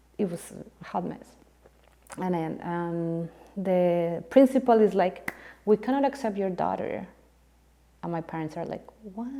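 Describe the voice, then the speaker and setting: A woman speaks with a Spanish accent in a dark, mellow tone, her pitch varying in an ordinary way. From Colombia (Bogota). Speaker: composer. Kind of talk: casual interview chat.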